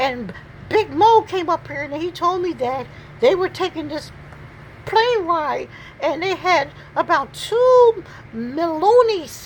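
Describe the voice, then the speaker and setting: A put-on character voice at an extremely high pitch, fairly slow, with long, frequent pauses and clear background noise. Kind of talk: comic pet voiceover. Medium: voice reel. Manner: rambling, repetitive, stammering.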